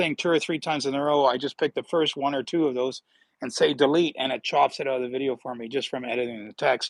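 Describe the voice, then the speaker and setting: A man's fairly high voice with a Northern Ontario accent, fairly quick, with ordinary pitch variation, in a very clean recording with a silent background and a dry, close sound with no echo. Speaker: health vlogger with atrial fibrillation. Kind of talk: casual livestream talk. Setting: outdoors in backyard. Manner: repetitive, stammering restarts. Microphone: new tablet setup.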